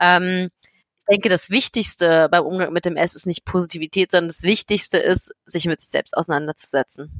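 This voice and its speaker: Delivered at a moderate pace with hardly any pauses and fairly even intonation, this is an ordinary speaking voice. The sound is dry and close, with no echo. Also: woman, fairly low pitch for a woman, big swings in loudness. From Berlin, Germany. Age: 20s. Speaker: blogger and patient advocate living with MS. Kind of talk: interview.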